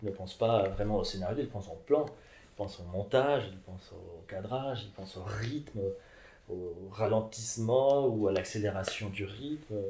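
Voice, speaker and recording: A man with a Spanish accent talks at a moderate pace, his fairly low voice dark, mellow and somewhat breathy, with ordinary pitch variation and big swings in loudness. Audible room echo and light background noise surround him. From Mexico. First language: Spanish (speaking French). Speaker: philosopher; interviewee. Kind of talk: interview. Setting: at his home. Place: home room. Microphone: camera far.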